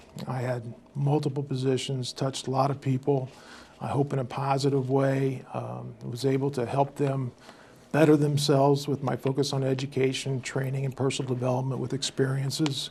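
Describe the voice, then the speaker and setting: Over noticeable background noise, a man with a Midwestern American accent speaks at medium pitch and a moderate pace in a monotone, flat intonation. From US Midwest, southern Indiana. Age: 60s. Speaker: local election candidate. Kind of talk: interview. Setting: studio. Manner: hesitant, many fillers.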